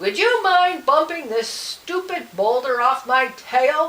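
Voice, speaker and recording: A woman bellows in a put-on character voice with a high pitch. Her pace is fairly slow. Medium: read story.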